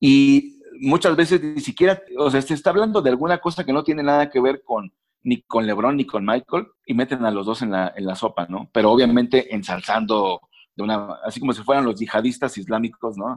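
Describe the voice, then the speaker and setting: With an ordinary speaking voice, a man talks at a fairly quick pace and a medium pitch. The sound is dry and close with no echo, over a quiet background. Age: 40s. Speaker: sports journalist. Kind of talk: casual interview.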